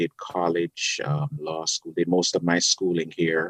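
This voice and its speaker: With a strong Jamaican accent, a man speaks very slowly in a very deep, low voice. The sound is dry and close, with no echo. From Jamaica, Kingston. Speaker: public defender. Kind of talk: casual interview. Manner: gentle.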